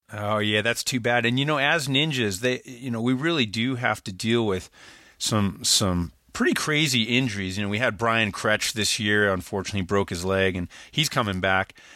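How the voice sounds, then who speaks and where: This man's medium-pitched voice has a bright, sharp tone, ordinary pitch variation and a moderate pace, on a very clean recording with a silent background. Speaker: podcast host and interviewer. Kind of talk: casual interview.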